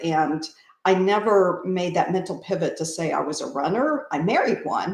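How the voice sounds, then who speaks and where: A woman at a medium pitch and moderate pace uses an ordinary speaking voice. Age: 60s. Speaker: amateur runner. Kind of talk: interview.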